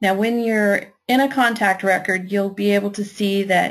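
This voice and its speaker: Someone with a Kentucky accent speaks at a moderate pace and with fairly even intonation, over a quiet background. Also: woman. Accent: Kentucky twang. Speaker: software trainer and virtual assistant. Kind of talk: webinar tutorial. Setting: online webinar.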